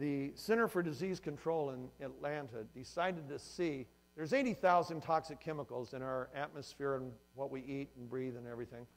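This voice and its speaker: A man's fairly high voice shows ordinary pitch variation and big swings in loudness. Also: fairly quick pace. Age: 60s. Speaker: company founder giving a presentation. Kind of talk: motivational sales presentation to audience. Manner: animated.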